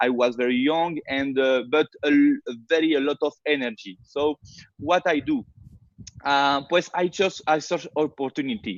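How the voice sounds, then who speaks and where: At a moderate pace, a man with a French accent speaks at a fairly high pitch with ordinary pitch variation. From France. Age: 30s. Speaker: network marketer. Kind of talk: webinar presentation. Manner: halting, many fillers.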